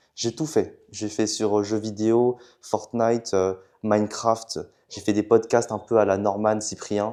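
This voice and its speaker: A man speaks very slowly at a fairly low pitch, with monotone, flat intonation and a dark, mellow tone. The recording is very clean, with a silent background. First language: Chinese (speaking French). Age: young. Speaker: student entrepreneur. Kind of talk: casual chat. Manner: hesitant.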